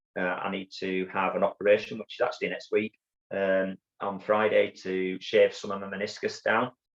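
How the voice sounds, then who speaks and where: A man with a Yorkshire accent at a fairly quick clip, the sound dry and close with no echo. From northern England, Bradford, Yorkshire. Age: 50s. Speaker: army veteran and ultrarunner. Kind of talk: interview storytelling. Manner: halting, many fillers and repeats.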